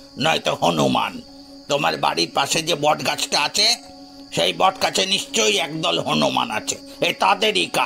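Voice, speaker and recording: A man's put-on character voice, fairly high in pitch, at a moderate pace over clear music in the background. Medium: read story. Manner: calm, reasoning.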